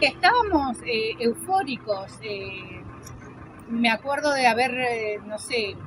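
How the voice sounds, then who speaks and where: Against noticeable background noise, a woman speaks very slowly in a high pitch. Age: 50s. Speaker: interviewee. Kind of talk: testimony.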